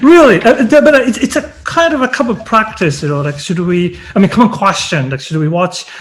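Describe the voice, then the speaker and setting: A man with a Japanese accent and a high pitch, very wide pitch swings, a fairly quick pace and hardly any pauses, over noticeable background noise. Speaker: university lecturer, lecture series host. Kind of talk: academic interview. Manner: halting.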